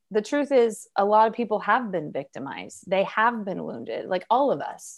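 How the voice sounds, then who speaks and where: This woman has a normal speaking voice. She talks at a fairly slow pace with lively intonation. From Oregon. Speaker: psychologist and relationship coach. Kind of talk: interview.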